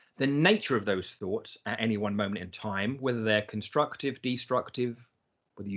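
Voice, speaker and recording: A man with an English accent talks at a fairly quick pace in a medium pitch, with ordinary pitch variation. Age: 50s. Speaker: personal development coach, business founder. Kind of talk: casual chat.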